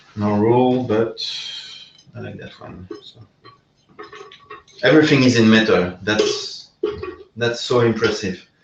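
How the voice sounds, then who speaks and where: A man with a slight non-native accent talks at a fairly slow pace with long, frequent pauses and big swings in loudness, and audible room echo surrounds his voice. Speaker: VR game developer. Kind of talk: live stream hardware assembly. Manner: halting, many fillers; animated.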